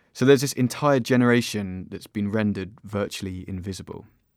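A man speaks in a plain, everyday voice with a fairly low pitch and ordinary pitch variation. His pace is fairly quick, and the recording is very clean with a silent background. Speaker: podcast host. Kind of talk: scripted intro and interview.

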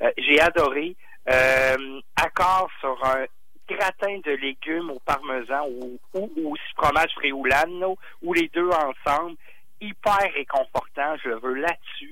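A man's fairly high voice, bright and sharp in tone, with ordinary pitch variation and long, frequent pauses. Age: 40s. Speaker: sommelier. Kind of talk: radio wine segment chat. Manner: animated; halting, many fillers.

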